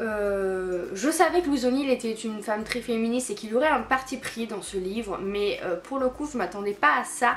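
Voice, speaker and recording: Against noticeable background noise, a woman with a fairly high pitch talks at a moderate pace with lively intonation. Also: hardly any pauses. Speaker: book vlogger. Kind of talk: casual book review vlog. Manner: halting, stammering; animated.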